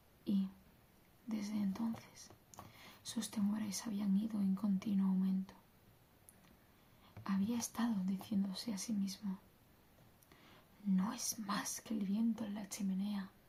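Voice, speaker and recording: A woman talks at a very slow pace with long, frequent pauses, in a medium pitch and a monotone, flat intonation. Her tone is dark and mellow, and somewhat breathy. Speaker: ASMR content creator. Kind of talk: bedtime story reading, ASMR.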